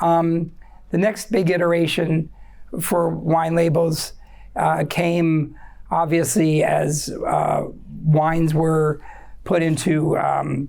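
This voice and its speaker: In a room with audible echo, a woman speaks at a fairly low pitch and a very slow pace. Her intonation is monotone and flat, broken by long, frequent pauses. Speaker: wine educator, speaker at forum. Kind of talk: informal presentation to audience. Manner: hesitant, many fillers and repetitions.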